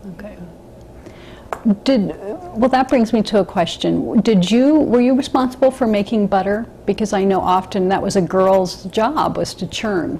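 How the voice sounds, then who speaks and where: Over light background noise, a woman speaks at a moderate pace with lively intonation. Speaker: oral history interviewer. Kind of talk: interview questions. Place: home room.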